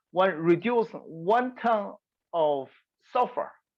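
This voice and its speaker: A woman with a Chinese accent talks at a medium pitch. Her pitch swings very widely against a quiet background. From China. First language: Mandarin Chinese. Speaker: environmental researcher. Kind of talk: webinar lecture. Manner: halting, many hesitations.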